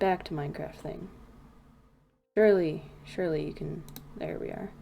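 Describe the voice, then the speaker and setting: Audible room echo surrounds a woman speaking at a moderate pace, her loudness swinging widely. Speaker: gaming streamer. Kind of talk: casual livestream commentary. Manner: rambling, self-correcting.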